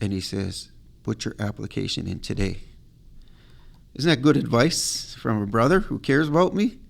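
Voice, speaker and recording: A man speaks at a moderate pace with very wide pitch swings and vocal fry. Long, frequent pauses break up his speech. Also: medium pitch for a man. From Nova Scotia Mi'kmaq community. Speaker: wildlife management coordinator. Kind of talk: storytelling interview. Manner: animated.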